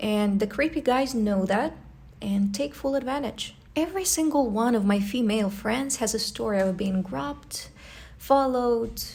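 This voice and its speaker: Speaking with a post-Soviet accent, a woman has a fairly high, somewhat breathy voice. Her pace is moderate and her intonation lively. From post-Soviet country. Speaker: travel vlogger. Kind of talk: vlog narration. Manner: casual, conversational.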